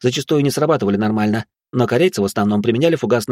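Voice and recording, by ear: Someone reads aloud in a natural voice. The background is quiet.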